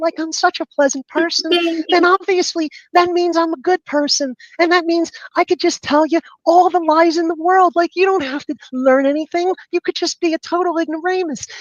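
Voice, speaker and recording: A woman's put-on character voice, squeaky and extremely high, at a moderate pace with fairly even intonation. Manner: sugary, sweet, pleasant.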